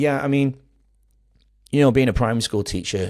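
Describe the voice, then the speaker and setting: A man speaks with a Manchester accent and ordinary pitch variation. The recording is very clean, with a silent background. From Manchester, England. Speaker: primary school relief teacher, podcaster. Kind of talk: podcast interview.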